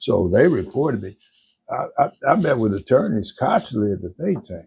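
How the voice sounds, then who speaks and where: A man talks at a medium pitch with very wide pitch swings. His voice is somewhat breathy. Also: moderate pace. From Mississippi, raised in Gary, Indiana. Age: 80s+. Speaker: attorney. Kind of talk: interview. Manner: halting, repeats words.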